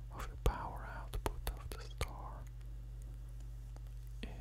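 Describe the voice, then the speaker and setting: Whispering and soft-spoken, a man talks over noticeable background noise. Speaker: science narrator. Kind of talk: educational narration. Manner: soft close-mic ASMR whisper. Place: studio. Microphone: studio mic.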